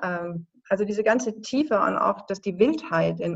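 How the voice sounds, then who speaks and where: A woman with a normal speaking voice talks at a fairly slow pace. Her intonation is lively. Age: 50s. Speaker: filmmaker. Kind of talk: interview.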